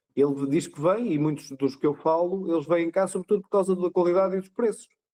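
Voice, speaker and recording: With a dark, mellow tone and a high pitch, a man talks at a fairly quick pace, with ordinary pitch variation, big swings in loudness, and a dry, close sound with no echo. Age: old. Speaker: ultramarathon cyclist. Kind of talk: casual chat.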